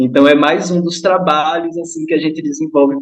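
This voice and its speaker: A man talks in an unremarkable speaking voice, fairly high in pitch. He keeps a moderate pace with fairly even intonation. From Brazilian Northeast, Kariri-Xocó village on São Francisco river. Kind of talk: online group discussion.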